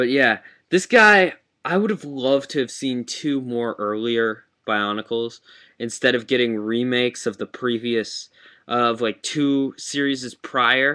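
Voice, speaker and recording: Over a quiet background, a man with a bright, sharp tone and medium pitch speaks at a fairly slow pace with ordinary pitch variation. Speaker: toy reviewer. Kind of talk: webcam toy review. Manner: halting, stuttering; casual, many fillers.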